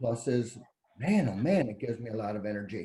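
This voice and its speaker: Somewhat breathy, a man's voice moves through very wide pitch swings. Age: 70s. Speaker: cancer survivor. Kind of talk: testimony. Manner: halting.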